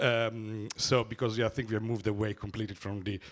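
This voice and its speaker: Fairly low-pitched male speech, monotone and flat, at a fairly quick pace on a very clean recording with a silent background. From Italy. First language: Italian. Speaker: economist, symposium rapporteur. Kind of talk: conference summary talk. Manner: halting, many fillers.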